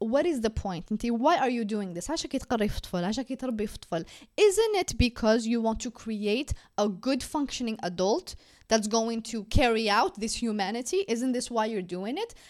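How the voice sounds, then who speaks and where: A woman with an Algerian accent speaks at a moderate pace. Her voice is fairly high, with lively intonation. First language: Algerian Arabic. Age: 20s. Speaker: podcast host. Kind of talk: casual chat.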